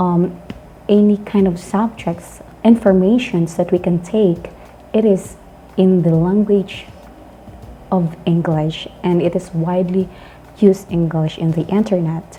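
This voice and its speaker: A woman in a Filipino accent, fairly low pitched, at a fairly slow pace with fairly even intonation, amid noticeable background noise. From Philippines. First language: not English. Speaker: English teacher, online channel host. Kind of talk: educational talk. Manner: halting.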